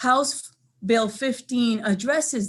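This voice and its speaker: A woman's voice sounds somewhat breathy. Her pitch varies in an ordinary way. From Dominican Republic. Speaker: state legislator. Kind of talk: committee testimony. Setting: legislative committee hearing. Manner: formal.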